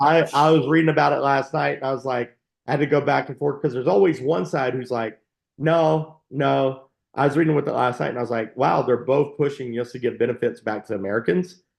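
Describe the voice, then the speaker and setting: At a fairly quick pace, a man with a medium pitch and vocal fry speaks with ordinary pitch variation. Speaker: tax advisor. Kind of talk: casual chat. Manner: fast.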